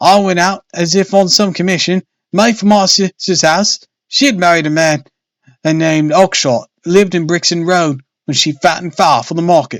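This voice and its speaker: A man's shaky, high, put-on character voice at a moderate pace, with ordinary pitch variation, in a dry, close sound with no echo. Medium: read story. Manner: quivering, nervous.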